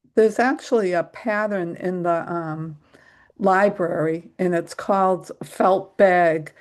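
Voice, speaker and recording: Against a quiet background, a woman with a medium-pitched voice speaks at a very slow pace with ordinary pitch variation. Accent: New England. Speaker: crafting class participant. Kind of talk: casual chat.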